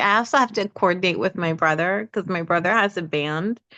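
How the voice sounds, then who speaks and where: At a moderate pace and with ordinary pitch variation, the voice comes through dry and close with no echo over a quiet background. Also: woman. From New York, Bushwick, Puerto Rican family. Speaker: singer. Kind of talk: casual chat. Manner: animated.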